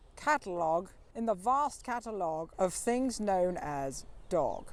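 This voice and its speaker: Very wide pitch swings mark this playful, fairly slow delivery, captured in a very clean recording with a silent background. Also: woman, medium pitch for a woman. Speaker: comic poet, spoken word performer. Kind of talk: comic verse poetry performance. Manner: rhythmic, playful, wry.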